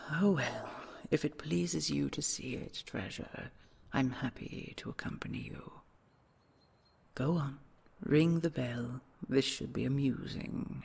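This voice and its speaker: In a put-on character voice, a man whispers with long, frequent pauses. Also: fairly slow pace. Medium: audio drama. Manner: soft, doting, slightly condescending.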